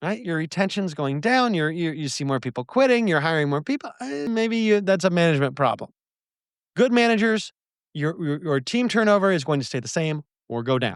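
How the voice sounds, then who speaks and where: A man with a high pitch and very wide pitch swings talks at a fairly quick pace on a very clean recording with a silent background. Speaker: podcast host, bar business advisor. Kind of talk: solo podcast monologue. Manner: fast.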